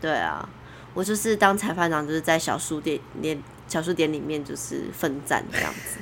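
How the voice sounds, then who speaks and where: A woman with a very deep, low pitch speaks at a moderate pace with ordinary pitch variation. Noticeable background noise is present. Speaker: surf judge. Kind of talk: casual chat.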